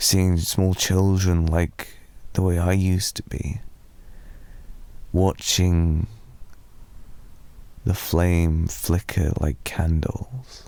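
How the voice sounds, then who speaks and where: A man with a British accent, a very deep, low pitch and a dark, mellow tone, at a very slow pace with long, frequent pauses, fairly even intonation and very even loudness. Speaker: ASMR roleplay performer. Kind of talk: ASMR boyfriend roleplay sleep aid. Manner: soft-spoken, rambling.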